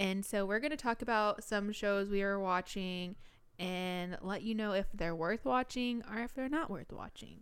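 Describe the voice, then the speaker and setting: An unremarkable speaking voice with ordinary pitch variation goes at a moderate pace on a very clean recording with a silent background. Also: woman, medium pitch for a woman. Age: 20s. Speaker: podcast co-host. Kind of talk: casual chat. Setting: studio.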